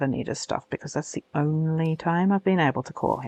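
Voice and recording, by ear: With a low pitch and a slightly mellow tone, a woman speaks with ordinary pitch variation in a dry, close sound with no echo.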